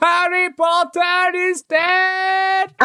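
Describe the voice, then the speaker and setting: This is a put-on character voice at an extremely high pitch. Its intonation is monotone and flat. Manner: sinister, hissing.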